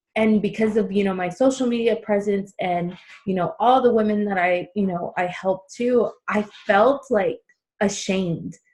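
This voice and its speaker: Somewhat breathy, a woman talks at a moderate pace. Her pitch is medium and her intonation fairly even. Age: 30s. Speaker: podcast host. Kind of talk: casual chat. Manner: halting.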